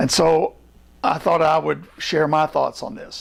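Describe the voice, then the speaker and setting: A man talks at a moderate pace. He speaks with an American accent. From US, Virginia and Kansas. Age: 70s. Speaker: theologian. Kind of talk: personal testimony talk.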